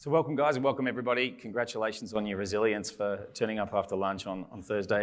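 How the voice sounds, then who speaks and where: On a very clean recording with a silent background, a man with an Australian accent talks very fast at a medium pitch with ordinary pitch variation. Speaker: panel moderator, consultant. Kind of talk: conference panel moderation.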